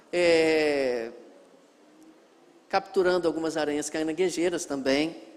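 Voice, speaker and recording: A man talks at a very slow pace, leaving long, frequent pauses, with fairly even intonation. Room echo can be heard. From Brazil, northwest Rio de Janeiro state (Miracema). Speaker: missionary pastor, guest preacher. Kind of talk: sermon introduction to a congregation. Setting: church.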